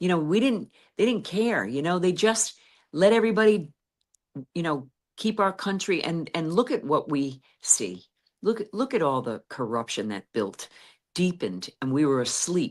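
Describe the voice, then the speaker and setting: With an American accent, a woman speaks at a moderate pace, her fairly low pitch sweeping through very wide swings. There's vocal fry, and the recording is very clean with a silent background. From USA. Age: 60s. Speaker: activist. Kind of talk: interview. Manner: halting.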